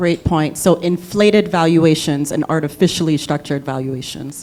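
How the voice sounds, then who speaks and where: A woman speaks with an American accent in a very deep, low pitch, keeping her intonation fairly even at a moderate pace. Noticeable background noise runs underneath. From Liberia. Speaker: panel moderator, venture philanthropy investor. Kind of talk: panel discussion moderation.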